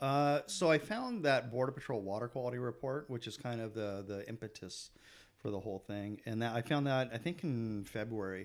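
In an American accent, a man uses a plain, everyday voice at a medium pitch, speaking at a moderate pace with ordinary pitch variation. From San Diego, California. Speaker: photographer. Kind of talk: casual chat.

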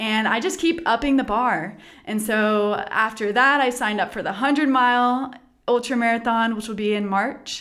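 An ordinary speaking voice with an American accent. The pace is moderate, with ordinary pitch variation. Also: woman, fairly high pitch for a woman. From Texas. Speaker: physical therapist. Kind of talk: interview.

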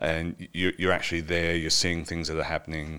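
A man's voice sits very deep and low, captured in a very clean recording against a silent background. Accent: Australian. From Wagga Wagga, Australia. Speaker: actor, filmmaker and parliamentary media technician. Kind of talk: casual interview chat. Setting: studio.

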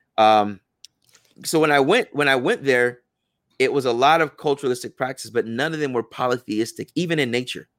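A man with an American accent and a plain, everyday voice, medium in pitch, at a fairly quick pace with ordinary pitch variation. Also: dry, close sound with no echo. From United States, Ghanaian family. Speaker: imam and Islamic teacher. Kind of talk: podcast interview.

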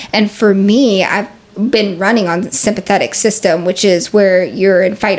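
Over noticeable background noise, the speaker talks with a Pacific Northwest accent and ordinary pitch variation. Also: woman. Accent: American (Pacific Northwest). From US Pacific Northwest, Seattle. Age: 30s. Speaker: yoga teacher. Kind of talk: casual interview.

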